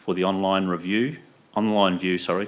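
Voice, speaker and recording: Here a man speaks with a very deep, low pitch. His intonation stays fairly even. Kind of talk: formal meeting announcement. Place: meeting room. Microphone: podium.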